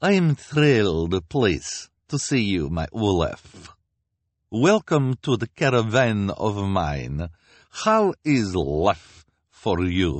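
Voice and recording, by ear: Putting on a character voice with a non-native accent, a man speaks slowly at a fairly low pitch with big pitch swings. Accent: put-on foreign.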